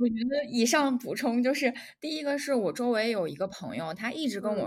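A woman uses an ordinary speaking voice with lively intonation at a moderate pace, captured in a very clean recording with a silent background. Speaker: podcast co-host. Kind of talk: casual chat.

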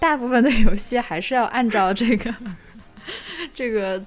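A woman talks at a moderate speed, her pitch varying in an ordinary way, while noticeable background noise runs underneath. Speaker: podcast co-host. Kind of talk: casual chat. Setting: studio live stream.

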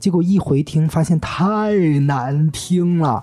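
A breathy man's voice, fairly high, with a dark, mellow tone and lively intonation. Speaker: podcast host. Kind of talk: casual chat. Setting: studio.

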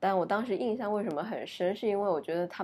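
A woman rattles along very fast, her pitch varying in a normal way. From Uzbekistan. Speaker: podcast guest, former student abroad. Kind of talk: casual chat. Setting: recording at home, lying down. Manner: low-energy.

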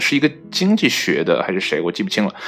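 Words come out at a very fast pace, with noticeable background noise present throughout. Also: man. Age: 30s. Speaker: solo podcast host. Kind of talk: casual solo monologue. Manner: hesitant with many fillers.

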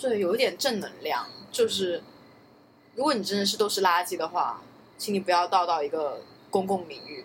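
The speech moves at a fairly quick pace. Long, frequent pauses break it up. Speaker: podcast co-host. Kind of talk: casual chat.

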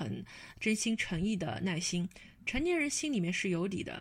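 A somewhat breathy woman's voice at medium pitch and a fairly quick pace, on a very clean recording with a silent background. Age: 30s. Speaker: podcast host. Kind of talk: casual chat.

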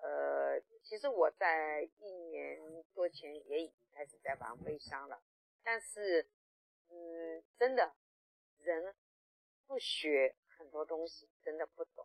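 A woman talks at a very slow pace, with long, frequent pauses and big swings in loudness. The sound is dry and close, with no echo. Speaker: online sales trainer. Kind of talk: testimony. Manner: hesitant fillers.

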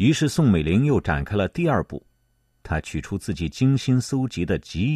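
Dark and mellow in tone, a man's voice carries vocal fry and very wide pitch swings at a fairly slow pace. The sound is dry and close with no echo, against a quiet background. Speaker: podcast narrator. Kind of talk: scripted history documentary narration, read aloud in a solemn, measured tone. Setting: studio. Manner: steady, even-paced and formal, clearly enunciated; lifts slightly for quoted lines.

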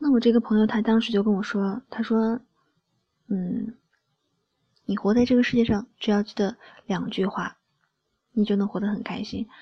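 A woman's fairly high, somewhat breathy voice, dark, mellow and gentle in tone, flat and monotone, at a moderate pace with long, frequent pauses and big swings in loudness. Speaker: solo podcast host. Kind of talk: late-night monologue. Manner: soft-spoken, gentle.

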